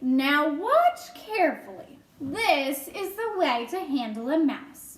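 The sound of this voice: A woman uses a put-on character voice. She talks at a fairly slow pace with a high pitch.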